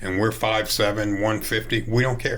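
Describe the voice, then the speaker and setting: With a bright, sharp tone and monotone, flat intonation, the voice moves at a moderate pace over audible room echo. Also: man. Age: 60s. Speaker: high school baseball coach. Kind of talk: interview.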